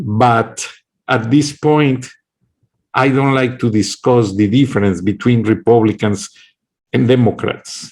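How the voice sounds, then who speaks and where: A man with a strong Mexican accent speaks at a fairly slow pace, leaving long, frequent pauses. His medium pitch shows ordinary variation, and his loudness stays very even. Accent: heavy Mexican Spanish accent in English. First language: Kickapoo, then Spanish. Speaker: political commentator. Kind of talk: political monologue. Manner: impassioned.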